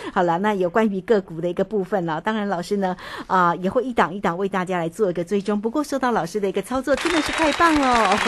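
A woman's medium-pitched voice with a Taiwanese accent, very fast and with lively intonation, over noticeable background noise. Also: hardly any pauses. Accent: Taiwanese Mandarin. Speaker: radio host. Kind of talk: radio interview. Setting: radio studio.

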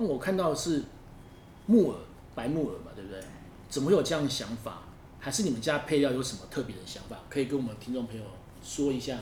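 Delivered at a very fast pace with lively intonation, the speech has big swings in loudness, long and frequent pauses, and audible room echo. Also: man, fairly high pitch for a man. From northern Taiwan. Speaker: podcast host. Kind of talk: casual interview chat.

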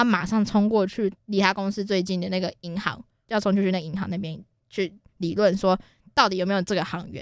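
Speech with a Taiwanese accent comes at a fairly quick pace with fairly even intonation, on a very clean recording with a silent background. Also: woman. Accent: Taiwanese Mandarin. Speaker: podcast co-host. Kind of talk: casual chat.

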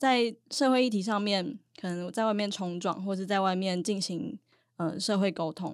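An ordinary speaking voice from a woman, medium in pitch with ordinary variation, at a moderate pace, on a very clean recording with a silent background. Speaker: university student, student union officer. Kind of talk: casual interview.

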